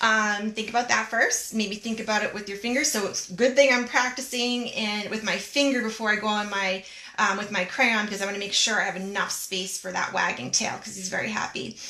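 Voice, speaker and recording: A woman with a fairly high pitch talks at a fairly quick pace with hardly any pauses. Noticeable background noise and audible room echo surround her voice. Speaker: art teacher. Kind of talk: tutorial. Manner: animated.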